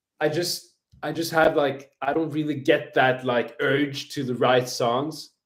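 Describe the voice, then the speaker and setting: Using a monotone, flat intonation, a man with a Swedish accent speaks at a fairly slow pace in a fairly high voice. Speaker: jazz guitar teacher and livestreamer. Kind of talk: casual livestream chat. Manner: casual, halting with many fillers.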